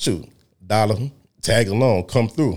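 Over a silent background in a very clean recording, a man speaks with ordinary pitch variation. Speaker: guest, music industry figure. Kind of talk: casual interview, storytelling. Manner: relaxed, joking.

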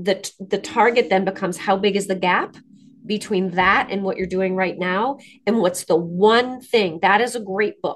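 Medium pitch and a moderate pace mark this woman's speech. Her intonation stays fairly even. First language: French. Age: 50s. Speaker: author and landscaping business owner. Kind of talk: interview.

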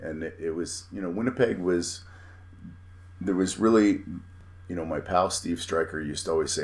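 Speaking at a fairly quick pace, a man with a very deep, low, somewhat breathy voice keeps his intonation fairly even. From Manitoba, Canada. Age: 40s. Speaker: professional wrestler. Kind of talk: casual chat.

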